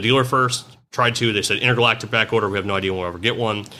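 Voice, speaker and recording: A very fast, loud man's voice, fairly low in pitch, with a bright, sharp tone. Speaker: mobile automotive diagnostic business owner. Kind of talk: casual chat. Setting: in person at a trade conference. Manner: animated.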